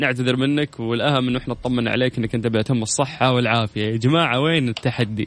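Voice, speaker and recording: Hardly any pauses break up the speech, which runs at a fairly quick pace. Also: man, medium pitch for a man. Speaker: radio quiz show host. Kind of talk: radio call-in quiz show. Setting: radio studio. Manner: animated.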